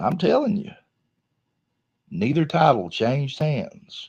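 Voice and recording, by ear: A man with fairly high pitch, big pitch swings and a slow pace, his slightly mellow tone showing vocal fry and a slightly husky edge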